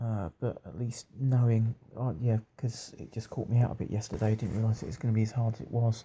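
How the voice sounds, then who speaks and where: Soft-spoken and somewhat breathy, a man with a British accent talks at a moderate pace in a medium pitch, with a dark, mellow tone and fairly even intonation. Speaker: video blogger on a long-distance cycling trip. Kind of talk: casual video diary. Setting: B and B room at night. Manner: quiet, talking softly; hesitant, many fillers.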